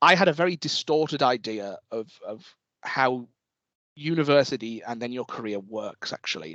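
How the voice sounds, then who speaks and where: With a northeast England accent, a man speaks in very wide pitch swings over a dry, close sound with no echo. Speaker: university lecturer. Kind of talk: talk to students. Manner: casual, with frequent fillers and repetitions.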